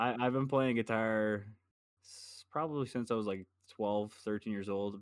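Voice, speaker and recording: A man with a fairly low pitch uses an ordinary speaking voice, talking at a fairly quick pace with ordinary pitch variation. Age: 20s. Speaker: podcast co-host. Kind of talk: casual chat.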